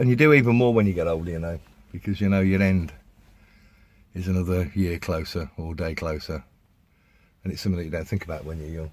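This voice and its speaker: A man with an English accent and a very deep, low pitch, very fast pace, ordinary pitch variation and long, frequent pauses, on a very clean recording with a silent background. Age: 60s. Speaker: vlogger. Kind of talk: casual monologue. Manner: halting.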